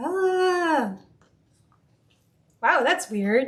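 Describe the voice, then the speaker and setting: A woman's voice moves through very wide pitch swings. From US West, mostly Colorado. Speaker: streamer cooking on a live stream. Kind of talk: casual live-stream chat while cooking.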